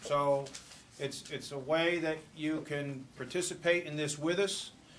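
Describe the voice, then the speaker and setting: Amid audible room echo, a man talks in a flat monotone at a fairly high pitch. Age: 60s. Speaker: borough manager. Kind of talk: public talk at community event.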